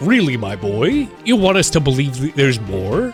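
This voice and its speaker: Clear music plays in the background as a man puts on a character voice. He holds a medium pitch and a moderate pace. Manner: pompous, grandiose.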